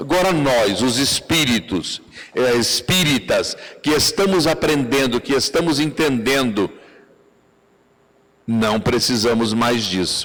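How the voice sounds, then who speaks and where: A man speaks at a very slow pace and medium pitch, with long, frequent pauses. His intonation is lively and his loudness very even. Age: 70s. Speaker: spiritist lecturer. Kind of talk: lecture.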